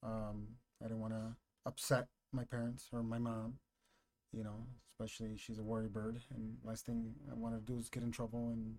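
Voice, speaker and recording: Flat, monotone intonation from a man, medium in pitch. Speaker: loan officer. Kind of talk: casual chat.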